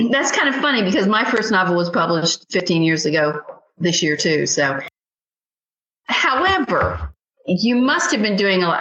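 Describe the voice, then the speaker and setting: A woman with an ordinary speaking voice talks at a moderate pace in a medium pitch. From not from the US South. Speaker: podcast host and novelist. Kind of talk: interview.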